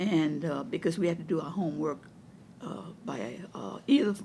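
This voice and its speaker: A woman with a Louisiana accent speaks at a fairly low pitch, her voice showing vocal fry. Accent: Southern US, Louisiana. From Donaldsonville, Louisiana. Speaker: retired educator and counselor. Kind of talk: oral history interview answer.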